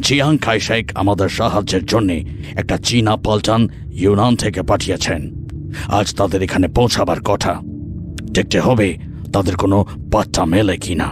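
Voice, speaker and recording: A man uses a put-on character voice, fairly low in pitch, speaking at a moderate pace over loud background noise. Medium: read story.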